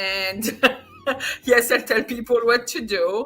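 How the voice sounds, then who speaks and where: Loud and bright, sharp in tone, a woman speaks at a moderate pace with ordinary pitch variation. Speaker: real estate agent. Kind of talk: casual video call discussion.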